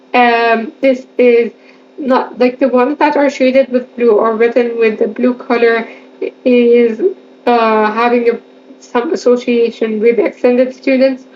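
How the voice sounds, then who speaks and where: Against noticeable background noise, a woman talks at a high pitch with fairly even intonation. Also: fairly slow pace, very even loudness. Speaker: exam revision tutor. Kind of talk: educational lecture over slides.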